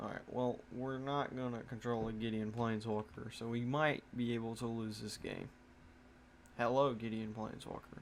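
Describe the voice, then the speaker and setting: The speaker has a slight country accent and a monotone, flat intonation. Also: man, medium pitch for a man, moderate pace. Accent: slight country twang. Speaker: gaming content creator. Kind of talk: gameplay commentary. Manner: casual, halting.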